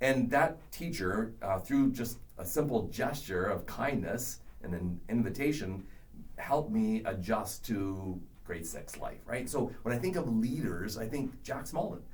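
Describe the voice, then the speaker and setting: Audible room echo surrounds a man who speaks fairly slowly. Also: medium pitch for a man, lively intonation. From Canada. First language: not English. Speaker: education professor. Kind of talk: podcast interview.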